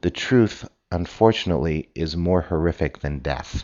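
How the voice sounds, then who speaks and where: A man with vocal fry speaks at a very deep, low pitch. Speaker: physician and podcast host. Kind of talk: solo podcast monologue. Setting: at home, early morning, coffee brewing in background.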